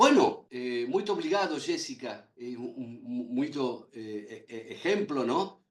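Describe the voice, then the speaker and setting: Fairly slow male delivery marked by very wide swings in pitch. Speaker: lecturer on medical law. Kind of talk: lecture.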